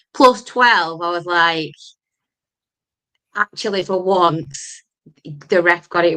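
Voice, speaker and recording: A woman speaks with a fairly low pitch. Her tone is bright and sharp. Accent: Lancashire. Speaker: football podcast host. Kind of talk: casual chat.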